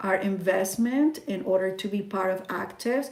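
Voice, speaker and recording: A woman at medium pitch and moderate pace, with audible room echo. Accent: Spanish. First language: Spanish. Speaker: network marketing distributor. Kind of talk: sales pitch.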